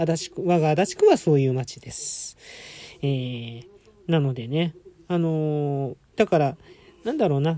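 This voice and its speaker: At a fairly slow pace with long, frequent pauses, a man with a fairly high voice and a dark, mellow tone shows ordinary pitch variation. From Tokyo, Adachi ward. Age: 40s. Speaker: podcaster. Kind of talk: casual solo talk. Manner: halting, many fillers.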